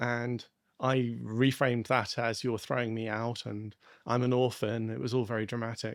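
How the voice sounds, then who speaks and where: The man speaks at medium pitch and a moderate pace, his intonation monotone and flat. The background is quiet. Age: 50s. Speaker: psychiatrist. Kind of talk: interview. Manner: halting, many fillers.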